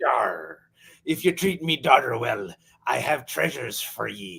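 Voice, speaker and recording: A man's raspy put-on character voice at medium pitch, moderate pace and very wide pitch swings. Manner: gruff, tough.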